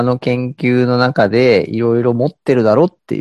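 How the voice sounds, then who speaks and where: A man at medium pitch and a fairly slow pace, with a dry, close sound and no echo. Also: quiet background. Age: 30s. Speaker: podcast co-host. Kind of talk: casual chat. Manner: hesitant, many fillers.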